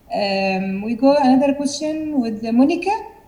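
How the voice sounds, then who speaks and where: With an Arabic accent, a woman speaks using lively intonation over noticeable background noise. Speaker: moderator. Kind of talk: moderating discussion. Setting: video call.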